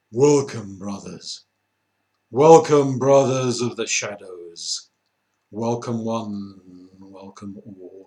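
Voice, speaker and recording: Delivered at a very slow pace, the put-on character voice shows ordinary pitch variation. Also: man, medium pitch for a man. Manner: ominous, welcoming.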